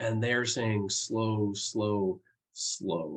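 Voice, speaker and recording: This man's voice is somewhat breathy and medium in pitch. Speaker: professor and keynote speaker. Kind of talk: keynote speech.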